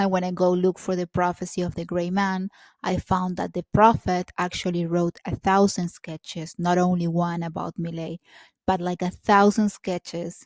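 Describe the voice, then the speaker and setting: Speaking at a moderate pace with a Spanish accent, a woman with a fairly low voice keeps a monotone, flat intonation in a very clean recording with a silent background and a dry, close sound with no echo. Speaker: video blogger. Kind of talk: casual monologue to camera. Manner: halting, many fillers.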